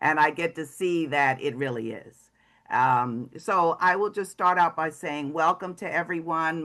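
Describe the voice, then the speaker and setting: Against a quiet background, a woman with an American accent and a bright, sharp tone talks at a moderate pace with ordinary pitch variation. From New York. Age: 70s. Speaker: comedian. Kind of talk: workshop talk.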